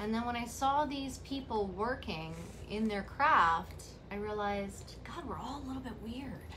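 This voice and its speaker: A woman with an American accent talks at a moderate pace and fairly high pitch, with audible room echo and noticeable background noise. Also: ordinary pitch variation. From New York City, the Bronx. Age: 40s. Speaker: hairstylist and colorist. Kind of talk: casual interview chat.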